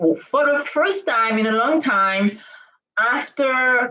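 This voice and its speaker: A woman with a non-native accent, very slow pace and very wide pitch swings. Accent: non-native accent, noticeable. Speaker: startup founder. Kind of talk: live stream monologue. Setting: live stream on camera. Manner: hesitant, with frequent fillers.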